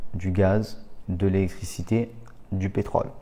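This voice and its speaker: A man is speaking. His tone is dark and mellow. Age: 30s. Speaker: real estate investor and trainer. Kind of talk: educational monologue. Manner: casual, with fillers.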